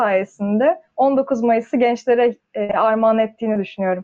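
Ordinary pitch movement from a woman speaking fairly quickly. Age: 20s. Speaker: engineering student. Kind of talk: casual chat.

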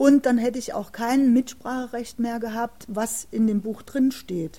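A woman with a fairly high pitch and a dark, mellow tone speaks with ordinary pitch variation. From East Germany, Jena, Thuringia. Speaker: author and former political prisoner, contemporary witness. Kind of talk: interview conversation. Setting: city library recording. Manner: halting, with many filler sounds.

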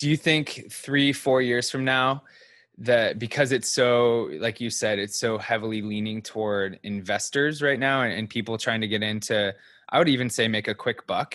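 Against a quiet background, a man talks at a moderate pace and medium pitch in a normal speaking voice with ordinary pitch variation. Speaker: podcast co-host. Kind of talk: casual chat. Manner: joking.

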